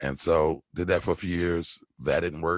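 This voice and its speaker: The speaker has a Philadelphia accent and noticeable vocal fry. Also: man, dry, close sound with no echo. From Philadelphia, US. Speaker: stock trader and tax preparer. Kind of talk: podcast interview. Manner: casual, conversational.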